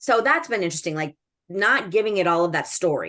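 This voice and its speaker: A woman speaks at a medium pitch and a fairly quick pace against a quiet background. Her tone is animated and her intonation lively. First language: Spanish or Greek. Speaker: school educator and administrator. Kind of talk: casual chat.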